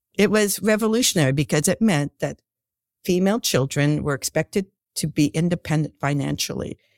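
Her pitch very deep and low with vocal fry, a woman speaks at a fairly quick pace with lively intonation, in a dry, close sound with no echo. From northern Ontario, Canada. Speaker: scientist, research director. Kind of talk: casual interview.

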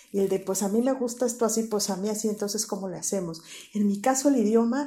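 A somewhat breathy woman's voice, medium in pitch and dark and mellow in tone, at a fairly quick pace. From Mexico, Querétaro. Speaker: psychologist. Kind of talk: interview.

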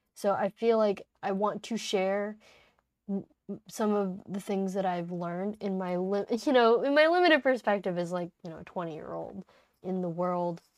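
A woman speaks in an American accent with a plain, everyday voice at a medium pitch. Her pace is moderate and her pitch variation ordinary. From United States. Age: 20s. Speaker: podcast host. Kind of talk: casual monologue. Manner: casual, laughing often.

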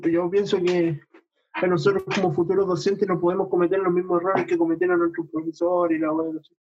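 A man speaks in a Chilean accent. His pitch is high. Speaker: podcast co-host. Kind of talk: casual chat.

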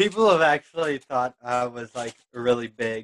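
This is an ordinary speaking voice at a fairly slow pace. Its pitch varies in an ordinary way. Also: man, dry, close sound with no echo. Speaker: podcast co-host, own podcaster. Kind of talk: casual chat.

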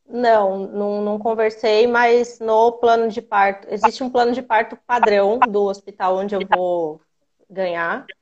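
This is an ordinary speaking voice from a woman, fairly high in pitch. She talks at a fairly slow pace with fairly even intonation. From interior of São Paulo state, Brazil. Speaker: pregnant caller. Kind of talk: live Q&A call-in.

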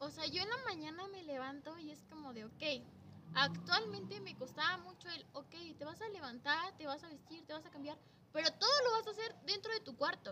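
Projecting a raised voice, a woman with a Mexican accent speaks at a moderate pace in a high pitch, her pitch swinging very widely and her loudness rising and falling sharply over noticeable background noise. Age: 20s. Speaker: primary school teacher. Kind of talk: casual chat.

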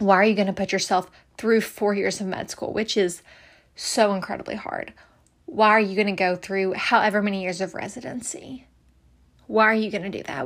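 A woman's shaky, medium-pitched voice at a fairly quick pace with fairly even intonation, on a very clean recording with a silent background. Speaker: podcast host, medical student. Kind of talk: casual advice monologue. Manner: shaky voice.

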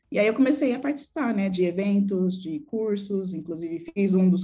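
A woman with a somewhat breathy, dark, mellow voice at medium pitch talks at a moderate pace with ordinary pitch variation. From São Paulo, Brazil (Jaraguá, periphery). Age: 20s. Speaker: UX designer and community founder. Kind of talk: interview.

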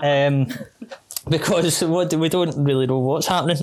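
Fairly quick speech from a man with a fairly high pitch, ordinary pitch variation and a West of Scotland accent. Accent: West of Scotland (Glasgow area). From Scotland, West Dunbartonshire. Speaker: triathlon club president and coach. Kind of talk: casual interview chat.

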